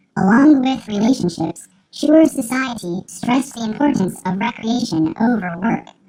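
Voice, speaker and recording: In a put-on character voice, a female-sounding speaker talks at a moderate pace with a deadpan tone, fairly high pitch and hardly any pauses. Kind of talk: nature documentary narration. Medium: comedy sketch. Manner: deadpan, formal, clinical.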